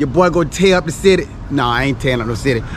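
The sound is dry with no echo, with light background noise. A man speaks very fast with ordinary pitch variation. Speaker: travel vlogger. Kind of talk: casual vlog chat. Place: street. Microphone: phone near.

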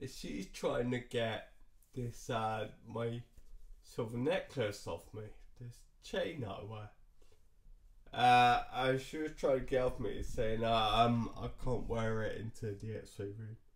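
Against a quiet background, a man speaks very slowly at a medium pitch, somewhat breathy, with fairly even intonation. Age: 30s. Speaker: vlogger. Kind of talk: personal vlog storytelling. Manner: halting, many fillers. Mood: relaxed, lightly amused. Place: home room. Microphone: webcam.

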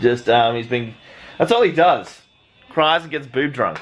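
Faint music plays behind the speaker. He is a man who talks fairly slowly. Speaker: vlogger. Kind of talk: casual vlog chat. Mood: self-deprecating, animated. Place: home room. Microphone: phone near.

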